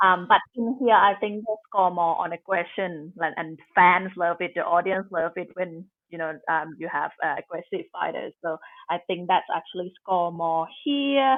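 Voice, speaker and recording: Her voice is that of a woman at medium pitch, with a Thai accent. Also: ordinary pitch variation, moderate pace. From Thailand. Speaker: Muay Thai fighter. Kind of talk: interview.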